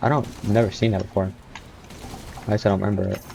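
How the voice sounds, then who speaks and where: A man with a fairly low pitch makes very wide pitch swings over noticeable background noise. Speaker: gaming streamer. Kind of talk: gameplay commentary. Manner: animated.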